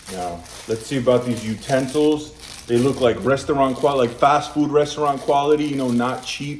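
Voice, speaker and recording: Over noticeable background noise, a man with a New York accent talks at a moderate pace in a fairly high pitch with ordinary pitch variation. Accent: New York American English. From US Northeast, Brooklyn, New York (Polish community). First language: Polish. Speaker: food reviewer, channel host. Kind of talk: casual product review. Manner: chatty, conversational.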